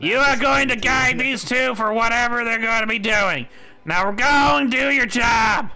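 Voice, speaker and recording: Shouting in a put-on character voice at an extremely high pitch, a man speaks at a moderate pace. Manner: shouting, bossy.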